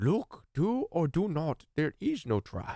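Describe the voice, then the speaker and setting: A put-on character voice, croaky and at middle pitch, delivers its lines at a fairly slow pace. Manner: odd halting rhythm.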